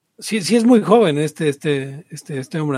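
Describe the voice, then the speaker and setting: A man speaks with a Mexican accent in a somewhat breathy voice. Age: 30s. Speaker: podcast host. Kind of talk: casual chat.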